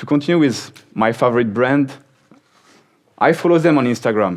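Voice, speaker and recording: With a French accent, a man talks at a fairly slow pace with lively intonation. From France. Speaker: software company speaker. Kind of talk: conference talk.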